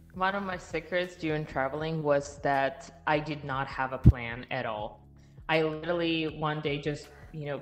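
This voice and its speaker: With music in the background, a woman speaks in a Russian accent at a moderate pace, her very deep, low pitch carried by fairly even intonation. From Russia, Siberia. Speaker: passport and residency consultant. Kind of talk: podcast interview. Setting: live stream.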